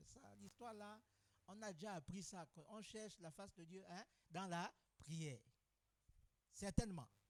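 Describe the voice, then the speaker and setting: A man talks at a fairly slow pace with a high pitch. His loudness swings widely, and he leaves long, frequent pauses. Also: ordinary pitch variation. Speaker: pastor. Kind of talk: sermon.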